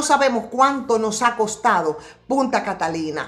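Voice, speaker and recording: The voice sounds animated at a moderate pace, with noticeable background noise. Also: woman. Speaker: political commentator. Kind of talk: political commentary. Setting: home studio set.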